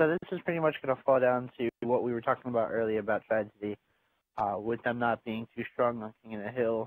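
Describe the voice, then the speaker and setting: At a medium pitch, a man speaks in a normal speaking voice. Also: ordinary pitch variation, fairly quick pace. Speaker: esports co-commentator. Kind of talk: live commentary.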